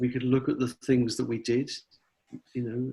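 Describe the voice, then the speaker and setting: Somewhat breathy, a man at medium pitch speaks with an English accent. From England. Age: 60s. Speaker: philosophy professor. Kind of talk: interview.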